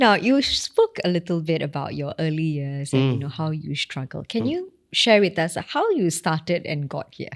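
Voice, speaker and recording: A woman with a normal speaking voice, fairly low in pitch, lively in intonation, at a moderate pace with hardly any pauses. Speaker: podcast host. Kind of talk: podcast hosting.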